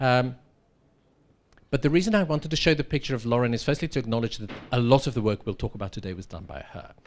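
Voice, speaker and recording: Lively intonation in a South African accent. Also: man. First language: Afrikaans. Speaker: professor. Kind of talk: lecture.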